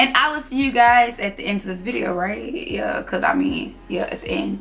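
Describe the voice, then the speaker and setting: Lively intonation at a moderate pace, in an American accent, over noticeable background noise. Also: woman. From US South. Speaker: sewing tutor. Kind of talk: tutorial. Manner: loud; casual.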